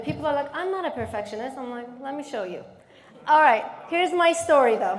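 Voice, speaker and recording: A woman with a Turkish accent talks at a fairly quick pace in a high pitch, with lively intonation and an animated tone. Noticeable background noise and audible room echo fill the recording. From Turkey, Istanbul. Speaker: therapist and keynote speaker. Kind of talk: keynote speech. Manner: animated, interactive with audience.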